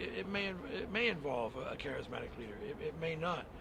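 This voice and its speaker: There is noticeable background noise behind this man. His voice is fairly high, with lively intonation. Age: 50s. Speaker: protester. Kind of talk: street interview. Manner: halting, many repetitions and fillers.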